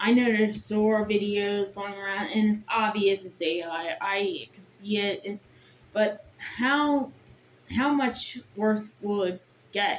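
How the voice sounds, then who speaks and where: A woman talks at a very slow pace and a medium pitch, with ordinary pitch variation. Her loudness swings widely. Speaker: vlogger. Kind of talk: casual monologue vlog. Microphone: bad audio, built-in mic.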